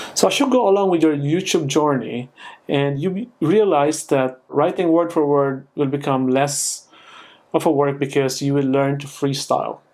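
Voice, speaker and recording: At a moderate pace, a man talks in a fairly high pitch. His pitch varies in an ordinary way. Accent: non-native. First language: not English. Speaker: YouTuber. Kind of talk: tutorial. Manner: unscripted, with fillers and restarts.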